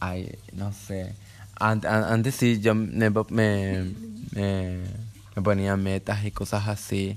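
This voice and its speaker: Monotone and flat in intonation, a man speaks at a very slow pace with a fairly low pitch. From Paraguay. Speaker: podcast host. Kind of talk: casual chat.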